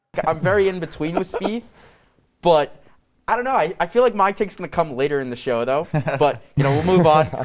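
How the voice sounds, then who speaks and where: Using an unremarkable speaking voice, a man talks at a fairly quick pace and a fairly high pitch with lively intonation. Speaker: student sportscaster. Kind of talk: sports talk show.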